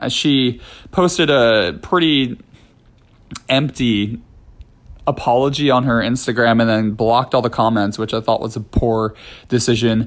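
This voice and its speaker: At a medium pitch, a man talks fairly slowly with ordinary pitch variation and long, frequent pauses. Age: 30s. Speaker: podcast host, ballet director and choreographer, retired dancer. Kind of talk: casual solo monologue. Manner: hesitant with many fillers and repetitions.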